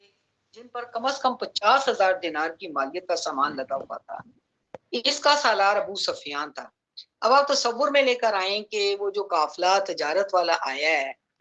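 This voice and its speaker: Medium-pitched female speech in a bright, sharp tone, with very wide pitch swings and big swings in loudness. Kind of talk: Islamic lecture / sermon (bayan) on early Islamic history. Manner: explanatory, narrative retelling of a historical event.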